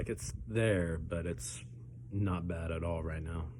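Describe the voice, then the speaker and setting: In a room with audible echo, a man with a very deep, low voice and vocal fry speaks at a fairly slow pace with ordinary pitch variation. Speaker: pepper-eating challenge youtuber. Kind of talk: casual vlog commentary while eating. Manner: halting with many fillers.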